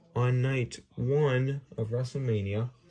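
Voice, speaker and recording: With a dark, mellow tone, a man speaks somewhat breathily at a very slow pace. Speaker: hobbyist video creator running a wrestling draft. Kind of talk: casual solo commentary.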